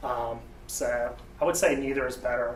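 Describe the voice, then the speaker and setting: Speaking in a medium pitch with a Southern US accent, a man is heard through audible room echo and noticeable background noise. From US South. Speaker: software developer, debate speaker. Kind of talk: tech talk debate presentation. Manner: casual, halting with fillers.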